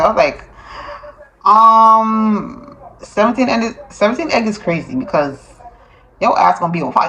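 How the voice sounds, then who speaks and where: Over noticeable background noise, a woman with a fairly high pitch and lively intonation speaks at a fairly slow pace, with long, frequent pauses. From Jamaica. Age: 30s. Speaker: security guard. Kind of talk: casual vlog talk to camera.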